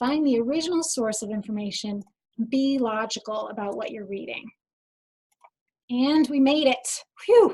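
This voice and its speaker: A woman with a high pitch, a dark, mellow tone and big swings in loudness. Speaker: information specialist giving a webinar. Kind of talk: webinar presentation. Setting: online webinar. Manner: fast.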